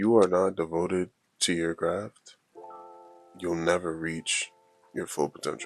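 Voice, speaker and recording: Over background music, the delivery moves at a fairly slow pace with fairly even intonation and long, frequent pauses, all in a dry, close sound with no echo. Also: man, very deep, low pitch for a man. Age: 20s. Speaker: motivational YouTuber. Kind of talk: casual motivational talk to camera. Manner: casual, conversational.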